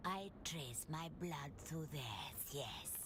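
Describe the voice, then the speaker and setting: Over loud background noise, a woman speaks very slowly in a put-on character voice. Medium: video game. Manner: gentle, reminiscing.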